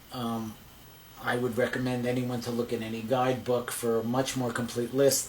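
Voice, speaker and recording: Noticeable background noise runs under this recording. A man with an American accent speaks at a medium pitch and a moderate pace. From New Jersey, near New York City. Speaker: psychologist, therapist. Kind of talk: interview. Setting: therapist's office.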